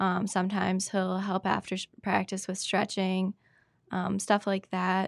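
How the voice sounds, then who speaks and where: In an Upper Midwest accent, a woman speaks at a medium pitch with monotone, flat intonation, the sound dry and close with no echo against a quiet background. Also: fairly slow pace. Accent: Upper Midwest American. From Wisconsin (Spooner). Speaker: wrestler. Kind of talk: casual interview.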